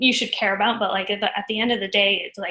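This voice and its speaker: Her tone bright and sharp, a woman speaks with an American accent. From Northern California. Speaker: career coaching community member. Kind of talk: casual interview on live stream. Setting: live video stream. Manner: halting, many fillers.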